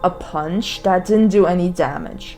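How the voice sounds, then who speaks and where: A woman speaking very slowly, with music in the background. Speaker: let's play gamer. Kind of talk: casual gameplay commentary.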